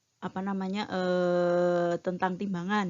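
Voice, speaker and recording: A woman speaks at a medium pitch. She has a slight Javanese accent. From Bantul, Yogyakarta, Java, Indonesia. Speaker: metrology trainer. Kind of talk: lecture. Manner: frequent filler hesitations.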